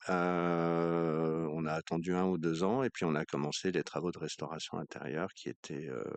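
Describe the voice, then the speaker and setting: A man speaks with a very deep, low pitch and ordinary pitch variation. His pace is fairly slow with hardly any pauses, and the sound is dry and close with no echo. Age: 60s. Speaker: château owner. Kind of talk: interview. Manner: hesitant, many fillers.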